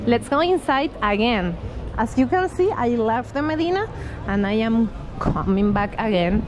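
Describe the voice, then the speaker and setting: A woman talks at a moderate pace with very wide pitch swings. The sound is dry with no echo, though background noise is noticeable. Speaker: travel vlogger. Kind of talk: casual vlog chat. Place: street. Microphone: phone near.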